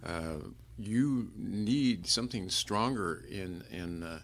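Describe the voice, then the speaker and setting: This man speaks with a very deep, low pitch. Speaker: guest, husband. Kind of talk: casual conversation. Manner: hesitant, many fillers.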